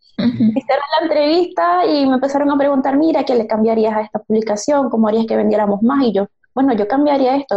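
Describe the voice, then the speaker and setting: Lively intonation carries this speech at a very fast pace. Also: woman. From Venezuela, Maracaibo. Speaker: UX designer. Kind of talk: interview.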